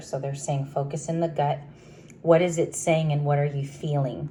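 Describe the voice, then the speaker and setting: A woman speaks quietly and somewhat breathily at a very deep, low pitch, her dark, mellow tone held to a flat monotone. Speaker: tarot reader. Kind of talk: tarot reading. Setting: at home, early morning. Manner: quiet, talking low.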